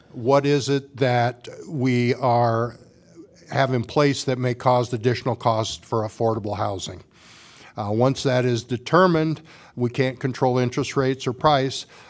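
With a Midwestern US accent, a man talks at medium pitch and a fairly slow pace, keeping his intonation fairly even. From Washington, Iowa. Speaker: city council candidate. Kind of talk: candidate forum. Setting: public forum with audience.

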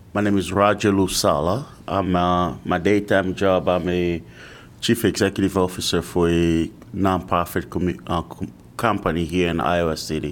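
Speaking at a moderate pace with fairly even intonation, a man's very deep, low voice comes through a very clean recording with a silent background. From Kinshasa, Congo. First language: French and Lingala. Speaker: commissioner, nonprofit executive. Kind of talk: public meeting discussion.

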